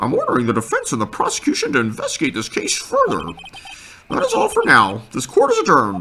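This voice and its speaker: Here a man uses a put-on character voice. He talks at a very fast pace. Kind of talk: pompous courtroom. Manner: authoritative, formal.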